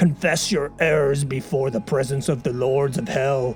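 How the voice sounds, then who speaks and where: Pitched low-to-middle, a put-on character voice moves at a moderate pace over clear background music. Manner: menacing.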